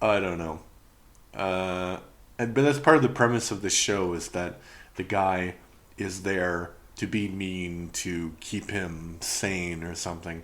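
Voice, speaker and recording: A man's very deep, low voice with ordinary pitch variation at a fairly slow pace, broken by long, frequent pauses amid audible room echo. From Canada. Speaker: podcast host, reviewer. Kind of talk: casual review monologue. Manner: hesitant, with fillers.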